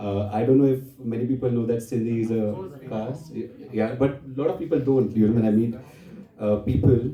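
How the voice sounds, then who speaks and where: Speaking at a moderate pace, a man has a medium pitch, a dark, mellow tone and a somewhat breathy quality, with fairly even intonation. Room echo is audible. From India, Maharashtra. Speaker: poet and activist. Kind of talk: literary festival talk. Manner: halting, with many fillers.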